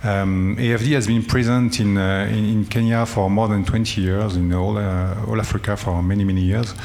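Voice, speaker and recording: A fairly low-pitched man with a French accent, at a moderate pace with hardly any pauses, fairly even intonation and very even loudness, amid audible room echo and noticeable background noise. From France. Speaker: development bank director. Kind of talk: panel discussion. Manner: halting, many fillers.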